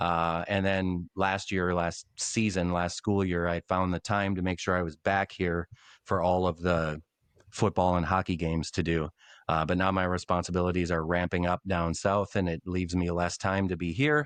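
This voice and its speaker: At a moderate pace and very even loudness, a man talks in a very deep, low pitch with fairly even intonation, the sound dry and close with no echo over a quiet background. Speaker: former radio play-by-play announcer. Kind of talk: interview conversation. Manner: casual conversational.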